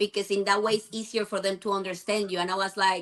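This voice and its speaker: A woman with a Spanish accent, bright and sharp in tone, at a fairly quick pace with fairly even intonation. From Venezuela. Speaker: immigrant guest. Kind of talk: debate.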